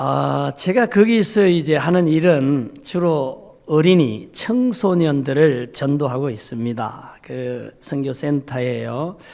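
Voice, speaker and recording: A man speaks at a very slow pace in a fairly high voice, with lively intonation and hardly any pauses. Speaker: missionary pastor. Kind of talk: mission report speech. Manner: hesitant fillers.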